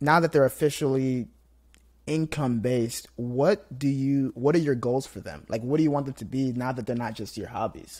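In a very clean recording with a silent background, a man with an American accent talks at a moderate pace and medium pitch, his pitch varying in an ordinary way, in a plain, everyday voice. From Nigeria, raised in the US. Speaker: podcast host. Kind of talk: interview conversation.

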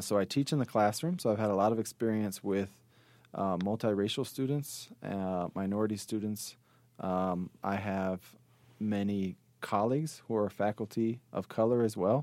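With an American accent, a man uses an ordinary speaking voice at a fairly low pitch. His pace is moderate, with ordinary pitch variation. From Chicago, South Side. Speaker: sociology professor. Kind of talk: interview.

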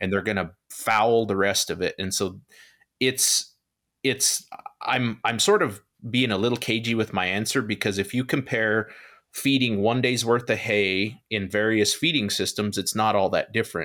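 In a very clean recording with a silent background, a man with a plain, everyday voice talks at a moderate pace, medium in pitch with fairly even intonation. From US Southwest, eastern New Mexico. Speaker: beef nutrition professor. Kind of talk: interview.

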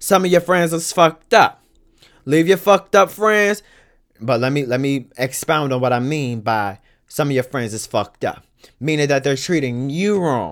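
Fairly high in pitch, a man speaks in an animated tone with lively intonation. The recording is very clean with a silent background. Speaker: podcast host. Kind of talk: casual monologue podcast with opinionated commentary. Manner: fast talker; animated, blunt and profane.

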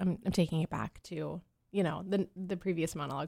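In an American accent, a woman speaks at a fairly quick pace with a fairly low pitch, a dark, mellow tone, vocal fry, and fairly even intonation, on a very clean recording with a silent background. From Pennsylvania. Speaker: actor. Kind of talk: casual chat. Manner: hesitant, many fillers.

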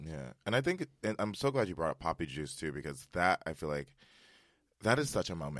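At a fairly quick pace, a man with an American accent speaks in a very deep, low voice with vocal fry and very wide pitch swings, the sound dry and close with no echo. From Westchester, New York. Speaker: tech operations worker and actor. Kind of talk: casual chat.

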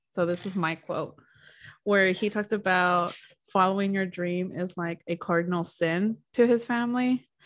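A woman with an unremarkable speaking voice talks at a moderate pace and a medium pitch with fairly even intonation. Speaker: podcast host. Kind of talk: casual chat about a book. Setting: video call.

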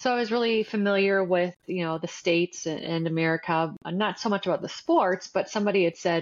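With an Ontario accent, a woman speaks at a medium pitch and fairly quick pace, showing ordinary pitch variation. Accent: Canadian English (Ontario). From Canada, Windsor, Ontario. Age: 40s. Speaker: marketing agency founder, former college athlete. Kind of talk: interview.

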